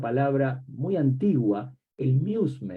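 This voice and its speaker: This man has a medium-pitched voice with a Rioplatense accent. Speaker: academic book commentator. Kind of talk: book presentation talk. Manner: reflective, rhetorical questions.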